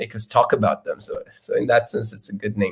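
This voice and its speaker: A man speaks with a non-native accent. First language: not English. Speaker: software engineer giving keynote. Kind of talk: conference talk with live coding demo. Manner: halting, many fillers and repetitions.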